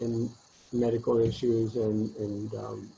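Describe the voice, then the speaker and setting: Somewhat breathy, a man speaks at a fairly low pitch in a dark, mellow tone with monotone, flat intonation. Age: 60s. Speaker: virologist and college instructor. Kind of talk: interview. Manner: halting, many fillers.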